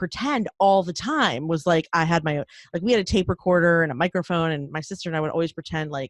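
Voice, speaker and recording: A woman with an American accent and a fairly low pitch talks at a very fast pace, the sound dry and close with no echo on a very clean recording with a silent background. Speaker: podcast co-founder. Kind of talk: interview. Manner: chatty.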